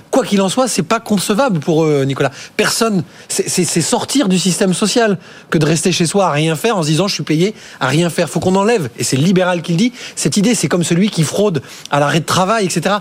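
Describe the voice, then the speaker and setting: With noticeable background noise behind him, a man talks at a fairly quick pace in a high pitch, his intonation lively and his loudness very even. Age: 40s. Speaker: investment platform co-founder. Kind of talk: studio debate.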